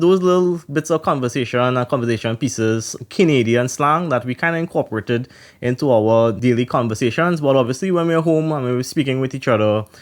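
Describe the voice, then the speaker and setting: A man with a Trinidadian accent talks at a fairly quick pace and medium pitch with ordinary pitch variation in a very clean recording with a silent background. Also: hardly any pauses. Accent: Trinidadian, still present. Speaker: podcast co-host. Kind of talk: casual podcast chat.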